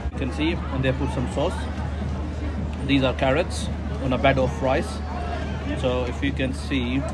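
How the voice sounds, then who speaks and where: A man keeps a moderate pace with music in the background. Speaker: food vlogger. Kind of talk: casual vlog chat. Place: street. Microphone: phone near.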